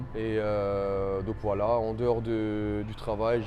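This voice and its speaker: A man's fairly low, dark, mellow voice, monotone and flat, at a very slow pace with audible room echo. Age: 20s. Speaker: coaching client, factory team leader. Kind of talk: interview testimony. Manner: hesitant, many fillers.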